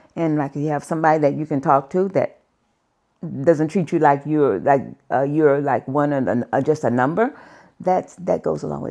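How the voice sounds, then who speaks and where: With a dark, mellow tone and vocal fry, a woman speaks at a moderate pace in a very deep, low pitch with ordinary pitch variation. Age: 70s. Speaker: customer. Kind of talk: testimonial interview. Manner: halting, conversational.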